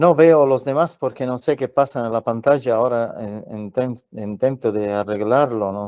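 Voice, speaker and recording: A man at a medium pitch, ordinary pitch variation, in a very clean recording with a silent background. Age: 60s. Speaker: journalist and UFO contactee. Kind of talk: interview answers. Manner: halting.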